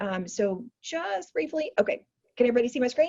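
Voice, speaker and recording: With a somewhat breathy sound, a woman's intonation rises and falls in a lively way. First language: American Sign Language. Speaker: community organizer / workshop host. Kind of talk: online workshop presentation. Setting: video call.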